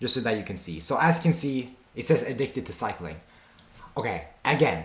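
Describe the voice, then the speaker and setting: A man with a medium pitch and vocal fry speaks at a fairly quick pace, his pitch swinging very widely. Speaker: streamer reacting to videos. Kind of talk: reaction commentary. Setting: streaming with face cam. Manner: stammering at times; casual, slangy.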